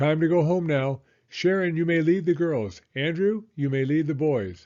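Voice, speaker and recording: Putting on a character voice, a man talks at a moderate pace with a fairly high pitch and very even loudness. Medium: read story.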